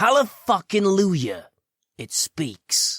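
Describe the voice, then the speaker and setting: A man puts on a growling character voice. He pitches it high. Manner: growling, sarcastic.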